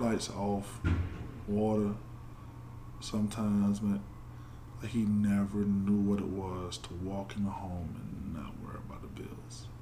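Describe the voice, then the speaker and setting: A fairly slow delivery with an American accent and ordinary pitch variation, plus audible room echo. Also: man. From Georgia, US. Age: 20s. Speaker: former football player. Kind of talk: interview conversation. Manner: halting.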